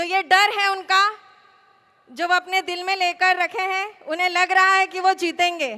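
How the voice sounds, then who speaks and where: Soft-spoken, a woman uses an extremely high pitch, a bright, sharp tone and a monotone, flat intonation. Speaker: election candidate. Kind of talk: political rally speech. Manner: soft-toned.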